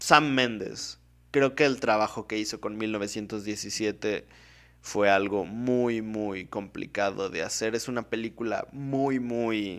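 Very slow speech comes from a man at a fairly low pitch with fairly even intonation. The recording is very clean, the background silent. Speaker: film podcast host. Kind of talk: casual solo commentary.

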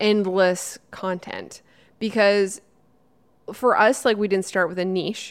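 A woman's ordinary speaking voice at medium pitch, at a fairly slow pace. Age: 30s. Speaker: YouTuber and podcast co-host. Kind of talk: casual chat.

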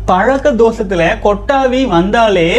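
With music in the background, a man speaks at a high pitch. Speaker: celibacy coach. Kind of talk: advice talk with listener questions. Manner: reading aloud listener letters.

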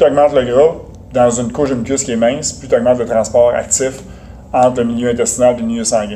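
A man's medium-pitched voice at a very fast pace, monotone and flat, with big swings in loudness and noticeable background noise. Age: 40s. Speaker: nutrition specialist and strength coach. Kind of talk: interview.

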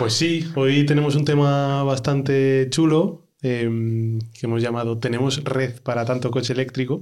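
At a fairly slow pace, a plain, everyday voice talks with fairly even intonation. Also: man, medium pitch for a man. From Spain, Ávila. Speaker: podcast host. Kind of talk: casual chat.

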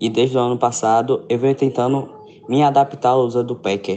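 This man has an unremarkable speaking voice at medium pitch. He talks at a moderate pace with fairly even intonation. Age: young. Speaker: listener sending voice message. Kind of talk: recorded voice message.

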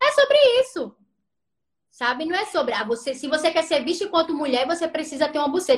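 A woman's high voice, fairly quick, with lively intonation and long, frequent pauses. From Brazil, Recife (Pernambuco). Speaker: feminist sociologist and philosophy teacher, social media host. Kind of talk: Instagram live discussion, explanatory.

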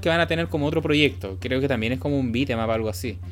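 A man is speaking. He goes at a very fast pace. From Chile, Santiago. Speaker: podcast host. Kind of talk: casual chat. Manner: halting, many fillers and repetitions.

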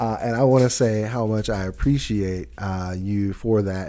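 A man with a Southern US accent speaks at a fairly slow pace, his pitch fairly low and his tone dark and mellow. His pitch varies in an ordinary way, and the recording is very clean with a silent background. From US South. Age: 40s. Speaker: podcast host. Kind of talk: casual chat. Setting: studio.

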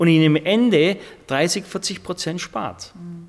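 This is a man speaking at a high pitch. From southern Germany. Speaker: fire lighter maker. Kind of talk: interview.

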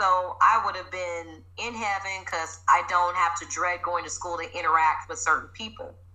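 A woman with an American accent, big swings in loudness and audible room echo. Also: moderate pace. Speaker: fitness trainer. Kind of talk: casual interview.

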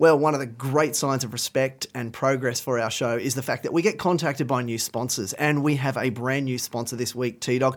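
A medium-pitched man with an Australian accent, fairly even intonation, a fairly quick pace and hardly any pauses. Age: 40s. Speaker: podcast host. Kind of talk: casual chat.

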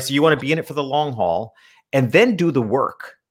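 In an unremarkable speaking voice, a man with an American accent talks at a fairly quick pace, with a fairly high pitch and ordinary pitch variation. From upstate New York. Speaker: small business consultant and portrait photographer. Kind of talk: podcast interview.

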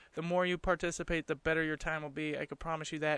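A man's fairly high, bright, sharp voice with monotone, flat intonation, in a dry, close sound with no echo and a quiet background. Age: 20s. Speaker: podcast host. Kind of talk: casual solo monologue. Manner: relaxed, laughing.

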